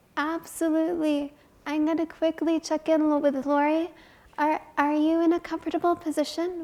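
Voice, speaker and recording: With an American accent, a woman speaks at a moderate pace in an extremely high pitch, her dark, mellow tone staying monotone and flat at a very even loudness. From San Francisco Bay Area, US. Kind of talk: interview answer.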